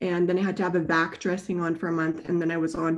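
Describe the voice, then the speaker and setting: With a Western Canadian accent, a woman speaks at a fairly low pitch. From British Columbia, Canada. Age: 30s. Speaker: wheelchair user with spinal cord injury. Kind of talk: interview.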